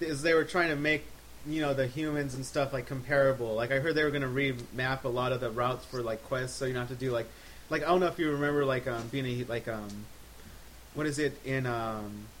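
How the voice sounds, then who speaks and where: A plain, everyday voice talks at a fairly quick pace with fairly even intonation. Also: man, medium pitch for a man. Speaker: podcast co-host. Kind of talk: casual chat.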